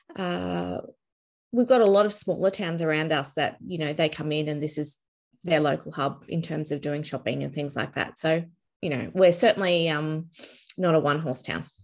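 A woman with an Australian accent talks at a moderate pace with ordinary pitch variation against a quiet background. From Brisbane, Australia. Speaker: family law mediator. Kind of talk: interview chat.

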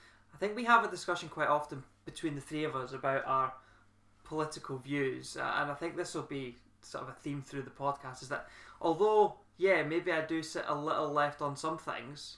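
This man has a plain, everyday voice, fairly high in pitch with ordinary pitch variation, moving at a moderate pace through big swings in loudness. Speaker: podcast host. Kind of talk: casual chat.

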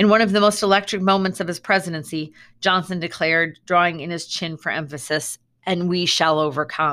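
On a very clean recording with a silent background, a woman with a fairly low voice speaks fairly quickly in a bright, sharp tone. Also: fairly even intonation. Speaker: school librarian. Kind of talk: audiobook reading with presidential speech. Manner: measured, even read-aloud pace; solemn, emphatic on the quoted presidential line.

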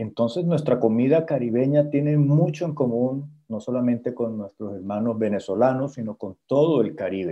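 At a moderate pace and with hardly any pauses, a man with a plain, everyday voice talks at a medium pitch with ordinary pitch variation. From Colombia, Santa Marta. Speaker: chef. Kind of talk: interview on radio show.

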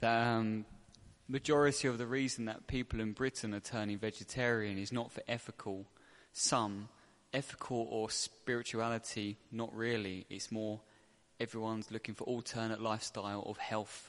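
A man speaks at a fairly slow pace with a monotone, flat intonation. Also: medium pitch for a man. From England. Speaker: devotee in audience. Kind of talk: Q&A answer. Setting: temple.

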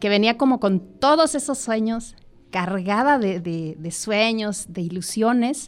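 A woman with a Mexican accent speaks very slowly at a fairly high pitch, with lively intonation. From Mexico, Michoacán. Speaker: entrepreneur. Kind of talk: casual chat. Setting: studio.

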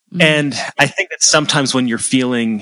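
In an American accent, a man with a plain, everyday voice talks at a fairly quick pace with ordinary pitch variation. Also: dry, close sound with no echo. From US Northeast, central Massachusetts. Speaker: songwriter and music theory student. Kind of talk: casual interview chat.

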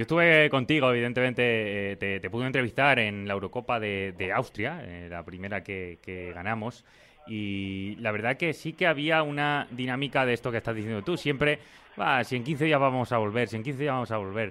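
A man speaks in a normal speaking voice. His pace is moderate and his intonation lively. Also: medium pitch for a man. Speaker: sports podcast host. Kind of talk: interview.

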